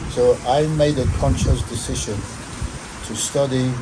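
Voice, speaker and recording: A man is speaking, with audible room echo. Noticeable background noise is present. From Nigeria, Delta State. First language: Urhobo. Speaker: former footballer. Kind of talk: interview. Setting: studio.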